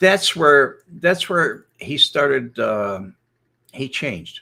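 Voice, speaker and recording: This man has an American accent, a fairly high pitch, vocal fry and a bright, sharp tone. He talks at a very slow pace with very wide pitch swings. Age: old. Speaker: former FBI informant. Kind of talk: casual storytelling livestream.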